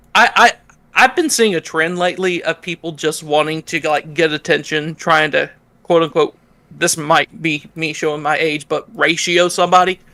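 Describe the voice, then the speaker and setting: This man has a fairly high pitch and a slight Southern US accent. He talks at a moderate pace with fairly even intonation. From US South. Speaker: YouTube content creator, podcast guest. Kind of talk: casual chat.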